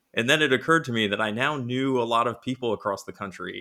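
A man with an American accent and a bright, sharp tone comes through in a very clean recording with a silent background. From US Northeast, Rhode Island. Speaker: board game designer. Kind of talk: casual interview.

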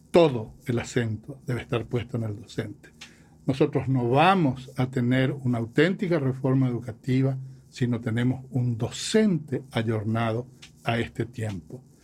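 This man has an ordinary speaking voice at medium pitch. He moves at a fairly slow pace with ordinary pitch variation. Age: 60s. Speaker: professor and musician. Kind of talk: interview.

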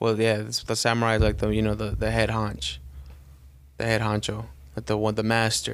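Fairly even intonation runs through speech broken by long, frequent pauses. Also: man, fairly low pitch for a man. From Los Angeles, California (Mexican-American). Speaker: podcast co-host. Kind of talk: casual chat.

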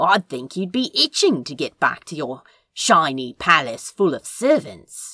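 A put-on character voice at a middle pitch moves at a moderate pace. The recording is very clean, with a silent background. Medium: read story. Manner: dry, sarcastic.

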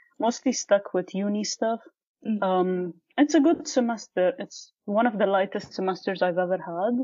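A woman talks with lively intonation. Her pitch sits in the medium range. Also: moderate pace. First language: not Arabic (Arabic learned later). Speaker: guest researching podcast language. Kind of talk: conversational interview.

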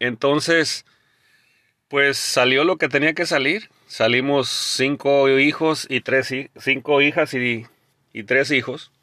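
Over a quiet background, a man with a fairly high pitch and a bright, sharp tone speaks very slowly with fairly even intonation. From Jalisco, Mexico. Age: 40s. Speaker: podcast host, motivational speaker. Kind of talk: motivational monologue.

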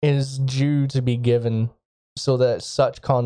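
Fairly even intonation from an unforced reading voice, background quiet

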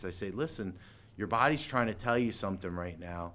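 At a fairly quick pace, a man speaks in an unremarkable speaking voice with ordinary pitch variation. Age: 40s. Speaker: chiropractor. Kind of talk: casual chat.

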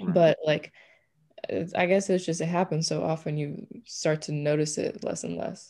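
Delivered at a moderate pace with fairly even intonation, the voice has an American accent and vocal fry. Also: woman. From US, Punjabi Indian family. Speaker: university student, panelist. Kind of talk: casual chat. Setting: video call.

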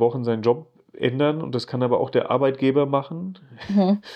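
Fairly quick and medium in pitch, a man speaks in a plain, everyday voice with ordinary pitch variation. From Germany, Rhine-Main area (Geisenheim near Wiesbaden). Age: 40s. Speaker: creative director. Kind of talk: casual interview chat.

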